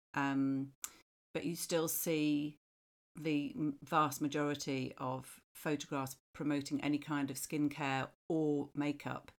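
A woman with a British accent speaks at a very slow pace in a very deep, low pitch. Her intonation is monotone and flat. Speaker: marketing professional. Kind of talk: casual chat.

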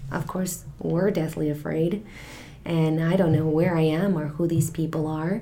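Over noticeable background noise, a woman speaks slowly-ish, at a fairly slow pace, in a very deep, low monotone with flat intonation. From Mexico. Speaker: financial coach. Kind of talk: interview.

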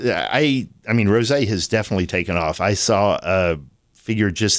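Here is a man with a plain, everyday voice, fairly low in pitch. He keeps a moderate pace on a very clean recording with a silent background. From Texas, Austin. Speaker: winemaker. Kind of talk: casual interview. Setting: live event on campus.

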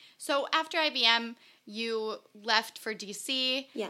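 Ordinary pitch variation in a woman's bright, sharp tone. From grew up in the US, born in Israel. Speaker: podcast host. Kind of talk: scripted narration; interview.

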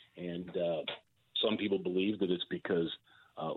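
A man with a fairly low pitch uses an ordinary speaking voice and fairly even intonation. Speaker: political columnist. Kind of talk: casual chat about politics.

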